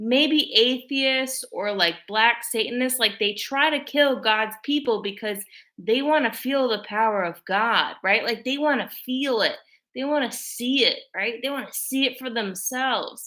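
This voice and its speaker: In a very clean recording with a silent background, a woman speaks loudly and fairly slowly, with a high pitch, a bright, sharp tone and ordinary pitch variation. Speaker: video blogger. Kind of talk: casual monologue to camera. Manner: filler-heavy, frequent likes and ums.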